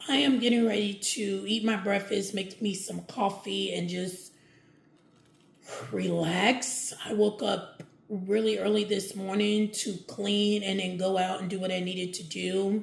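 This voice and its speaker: A woman at medium pitch and a fairly slow pace, with fairly even intonation and noticeable background noise. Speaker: lifestyle vlogger. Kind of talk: casual vlog chat. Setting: at home with window open. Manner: loud.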